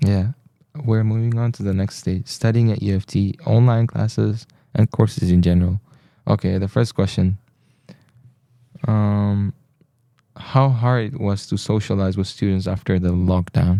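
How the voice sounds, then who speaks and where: A man's fairly low, dark, mellow voice at a moderate pace, with fairly even intonation and long, frequent pauses, in a dry, close sound with no echo. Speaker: student podcast host. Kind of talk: casual interview. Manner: mumbling.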